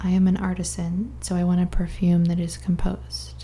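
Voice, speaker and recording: Soft-spoken, a woman talks. Her pace is moderate. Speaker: ASMR creator reading a book aloud. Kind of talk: ASMR book reading.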